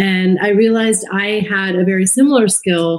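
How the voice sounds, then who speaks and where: An unremarkable speaking voice from a woman, medium in pitch, with fairly even intonation. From US (immigrated from India at age two). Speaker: former TV journalist turned podcaster. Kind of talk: interview conversation.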